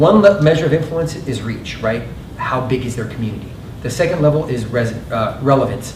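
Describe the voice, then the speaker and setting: Ordinary pitch variation at a fairly quick pace, with audible room echo and noticeable background noise. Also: man, medium pitch for a man. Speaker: marketing panelist. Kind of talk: panel discussion. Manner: fast.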